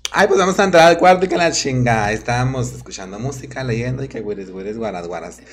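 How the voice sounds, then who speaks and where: Over noticeable background noise, a man at medium pitch talks at a very fast pace, his pitch swinging very widely and his loudness shifting a lot. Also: hardly any pauses. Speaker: drag queen. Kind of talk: casual chat.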